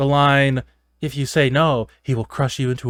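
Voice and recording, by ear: A natural voice reading aloud, with quiet all around.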